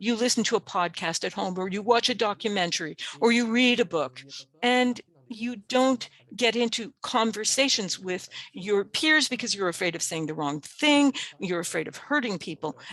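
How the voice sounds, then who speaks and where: This woman has a plain, everyday voice at a fairly high pitch. Her intonation is lively and her pace moderate. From Canada, Cree First Nation. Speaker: webinar presenter. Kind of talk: webinar presentation.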